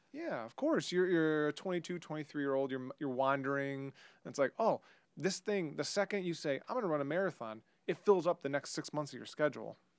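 An unremarkable speaking voice from a man, fairly high in pitch with ordinary pitch variation, at a fairly quick pace, with a dry, close sound and no echo. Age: 30s. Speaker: bitcoin enthusiast and former poker player. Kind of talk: casual chat.

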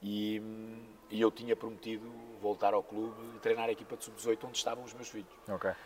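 A man with a fairly low voice speaks at a fairly quick pace, his intonation fairly even. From northern Portugal (Póvoa de Varzim), born in Mozambique. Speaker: basketball coach. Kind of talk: interview. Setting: basketball club venue.

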